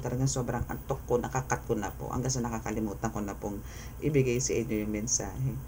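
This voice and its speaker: A man speaks at a fairly quick pace, his voice carrying audible room echo. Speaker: tarot reader. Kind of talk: tarot reading. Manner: soft-spoken.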